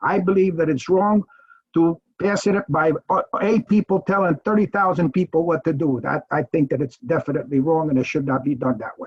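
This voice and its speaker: The speaker is a man with a high pitch. He talks at a fairly quick pace. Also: ordinary pitch variation. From Italy. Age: 80s+. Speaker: resident giving public comment. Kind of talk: public comment at council meeting. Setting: video call. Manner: halting.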